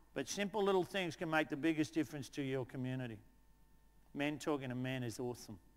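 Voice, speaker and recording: At a very fast pace, a man speaks in an animated tone with a fairly high pitch and ordinary pitch variation. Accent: Australian. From Australia, outer Melbourne. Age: 60s. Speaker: teacher and presenter. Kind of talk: storytelling; conference talk. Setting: conference stage with audience.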